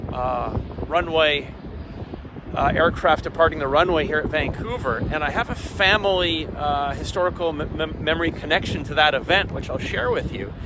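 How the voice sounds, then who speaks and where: A man with a Canadian accent talks at a moderate pace, his pitch fairly high with ordinary variation. Noticeable background noise sits behind him. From Canada. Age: 60s. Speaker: aviation vlogger. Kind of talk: on-location report. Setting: outdoors. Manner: halting.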